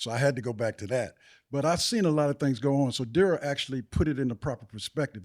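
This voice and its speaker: In a clean recording with a silent background, a man with an American accent speaks at fairly high pitch in a dark, mellow tone with ordinary pitch variation. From Washington DC. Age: 70s. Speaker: community elder. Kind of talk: interview.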